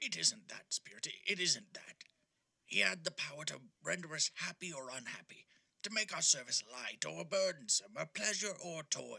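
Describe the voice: High-pitched, put-on character voice from a man, delivered at a moderate pace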